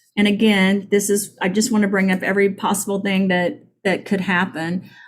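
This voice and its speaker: The woman's voice is medium in pitch and somewhat breathy. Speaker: product founder presenting supplements. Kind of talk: product presentation. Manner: hesitant, many fillers.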